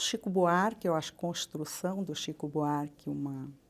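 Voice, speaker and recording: A woman's pitch sits very deep and low as she talks at a fairly slow pace. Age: 70s. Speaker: retired public prosecutor. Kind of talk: interview. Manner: halting.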